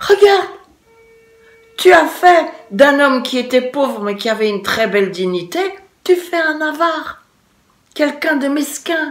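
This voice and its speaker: A woman performs a put-on character voice, raised and projected, at a moderate pace with long, frequent pauses. Music plays in the background along with a rumbling. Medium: read story. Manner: grumbling, reproachful.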